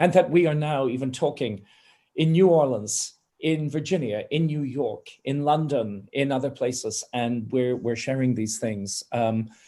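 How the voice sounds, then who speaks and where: A man at medium pitch, dark and mellow in tone, at a fairly slow pace. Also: ordinary pitch variation. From Ireland. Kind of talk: panel discussion. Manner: impassioned.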